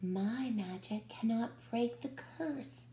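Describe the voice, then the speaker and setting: A woman puts on a character voice at a medium pitch, her pitch swinging very widely. She speaks very slowly over clear background noise. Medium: read story.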